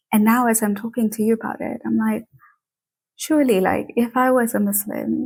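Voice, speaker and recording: Delivery comes at a moderate speed. The intonation stays fairly even, and the voice is somewhat breathy. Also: woman, fairly high pitch for a woman. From Tanzania. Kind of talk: interview. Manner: casual, many fillers.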